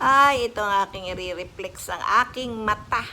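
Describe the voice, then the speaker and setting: A woman's fairly high voice with lively intonation. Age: 60s. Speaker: vlogger. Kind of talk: casual tutorial vlog. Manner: animated.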